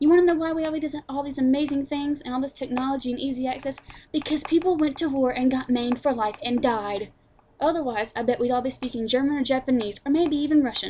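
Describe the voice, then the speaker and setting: Talking at a very fast pace, a woman with a high-pitched voice keeps her intonation fairly even. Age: young. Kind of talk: angry rant to camera.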